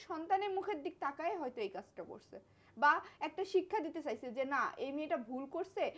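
Very wide pitch swings and an animated tone, with big swings in loudness over noticeable background noise. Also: woman. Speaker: vlogger in couple skit. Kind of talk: heated couple argument.

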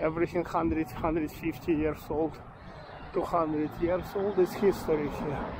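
Talking at a very slow pace, a man with a fairly high pitch and a relaxed tone keeps his intonation fairly even over noticeable background noise. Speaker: walking tour vlogger. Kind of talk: self-guided walking tour narration, pointing out local history and shops. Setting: outdoors. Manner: rambling, halting with frequent fillers and self-corrections; relaxed, chatty, laughs casually while walking.

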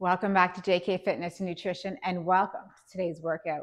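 The background is hushed. A woman keeps a moderate pace. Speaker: fitness instructor. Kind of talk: workout instruction. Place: gym.

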